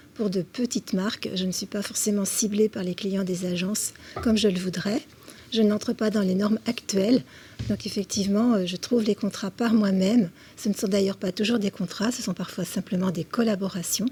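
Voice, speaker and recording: Her voice somewhat breathy and dark, mellow in tone, a woman speaks at a moderate pace and medium pitch with fairly even intonation. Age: 60s. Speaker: senior model. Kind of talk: TV interview.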